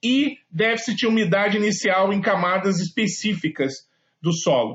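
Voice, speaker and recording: This is a man speaking. His pitch is high for a man. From Brazil, Rio de Janeiro. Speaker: engineer presenting software. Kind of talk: webinar presentation. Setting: online webinar. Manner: hesitant, many filler words.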